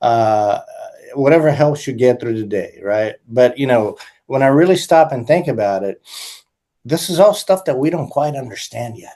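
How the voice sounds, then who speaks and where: With an American accent, a man speaks in a dark, mellow tone, his intonation lively and his loudness swinging widely. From United States. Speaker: musician and composer. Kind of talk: interview conversation. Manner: halting, many fillers.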